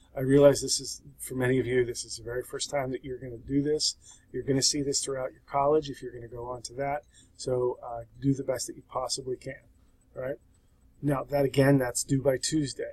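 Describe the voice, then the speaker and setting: A man's medium-pitched, somewhat breathy voice at a fairly quick pace, monotone and flat in intonation, with big swings in loudness. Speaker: sociology instructor. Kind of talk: tutorial. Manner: casual.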